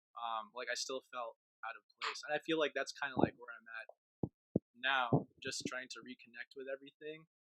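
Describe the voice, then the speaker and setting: The speaker is a man with an ordinary speaking voice and an American accent, pitched fairly high, with fairly even intonation. The sound is dry and close, with no echo. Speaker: podcast guest. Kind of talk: casual chat.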